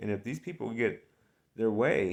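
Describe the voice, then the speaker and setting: An American-accented man at medium pitch, an ordinary speaking voice with ordinary pitch variation, on a very clean recording with a silent background. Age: 50s. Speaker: political vlogger. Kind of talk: political monologue. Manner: casual, rambling with fillers.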